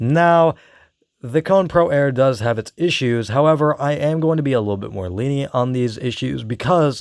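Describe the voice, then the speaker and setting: A man talks at a moderate pace. His voice sits at medium pitch with ordinary pitch variation. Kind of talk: product review talk to camera. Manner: casual, conversational.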